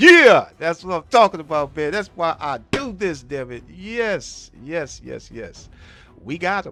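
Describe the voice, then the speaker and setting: A man shouting in a high voice at a fairly slow pace, with lively intonation, big swings in loudness and music in the background. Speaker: live streamer gamer. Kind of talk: live gameplay stream. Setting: live stream. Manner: casual, filler-heavy; loud, excited shouting.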